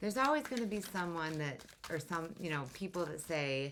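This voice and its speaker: Fairly quick and lively in intonation, a woman speaks in a fairly low pitch. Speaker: tarot reader. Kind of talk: tarot reading monologue. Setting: home workspace under construction. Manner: loud, straining for volume.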